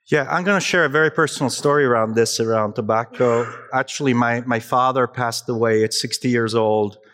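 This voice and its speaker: Speaking at medium pitch for a man, he keeps ordinary pitch variation and very even loudness. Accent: Italian. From Italy, Naples. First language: Italian. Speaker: digital health consultant. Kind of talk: conference talk. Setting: stage with audience. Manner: animated.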